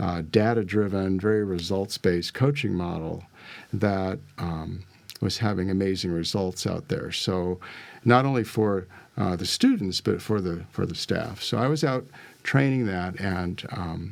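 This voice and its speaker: A man's very deep, low voice at a fairly slow pace with ordinary pitch variation, in a very clean recording with a silent background. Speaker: life and business coach. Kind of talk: interview.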